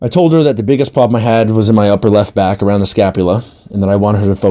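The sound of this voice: Ordinary pitch variation shapes this unforced reading voice.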